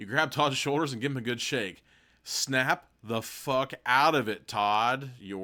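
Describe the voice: Ordinary pitch variation and plain reading aloud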